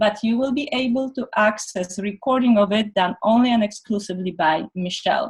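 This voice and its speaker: At a moderate pace, a woman with a fairly high pitch speaks with ordinary pitch variation. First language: not English. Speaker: energy medicine practitioner and teacher. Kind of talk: online presentation. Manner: halting.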